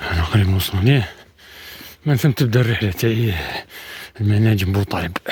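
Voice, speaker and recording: A man talks at a fairly low pitch with ordinary pitch variation, leaving long, frequent pauses. Noticeable background noise runs underneath. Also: moderate pace, very even loudness. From Algeria, Setif province. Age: 40s. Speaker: adventure vlogger. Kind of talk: outdoor travel vlog monologue. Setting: outdoors in mountains.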